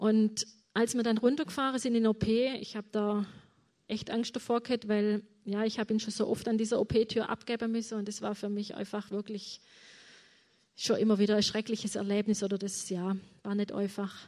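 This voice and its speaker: This woman has a fairly high pitch and a dark, mellow tone. She talks at a moderate pace in a monotone, flat intonation. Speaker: mother of a chronically ill son. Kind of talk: testimony.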